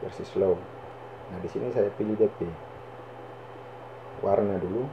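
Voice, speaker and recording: Amid noticeable background noise, a man with a North Maluku accent talks at a moderate pace in a fairly low pitch, with ordinary pitch variation and big swings in loudness. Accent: North Maluku (Ternate) Malay. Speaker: YouTuber. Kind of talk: screen-recorded tutorial.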